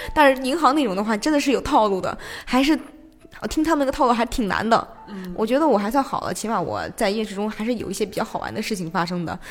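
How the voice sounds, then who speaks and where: Over noticeable background noise, a woman talks at a very fast pace with lively intonation and a fairly high pitch. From Xi'an, China. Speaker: theatre project manager. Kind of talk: casual interview chat. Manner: animated, energetic; laughs often.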